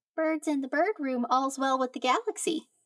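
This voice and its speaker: This put-on character voice sounds female and sits at a high pitch for a woman. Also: moderate pace. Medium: read story. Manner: short simple parroted phrases.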